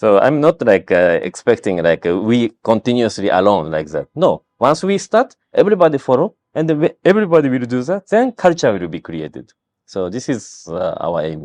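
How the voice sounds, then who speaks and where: Speaking at a moderate pace with hardly any pauses, a man with a Japanese accent uses a medium pitch and very wide pitch swings, recorded with a dry, close sound, no echo and a quiet background. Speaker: health screening company founder. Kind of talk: interview. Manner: halting.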